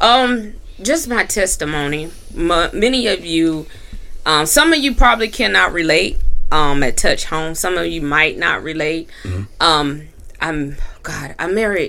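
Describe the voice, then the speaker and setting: A woman with an American accent speaks fairly slowly in a fairly low voice, her pitch swinging very widely amid audible room echo. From North Carolina. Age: 40s. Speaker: entrepreneur and minister. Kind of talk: testimony.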